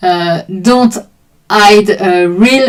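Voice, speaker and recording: A woman with a French accent and ordinary pitch variation. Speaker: art teacher streaming drawing sessions. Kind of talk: live stream explanation to chat. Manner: halting.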